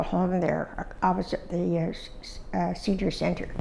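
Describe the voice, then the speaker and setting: A woman talks rather quickly while background noise can be clearly heard. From Ontario, Canada (Dundas area). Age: 80s+. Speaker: oral history interviewee. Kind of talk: oral history interview. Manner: halting, with many fillers.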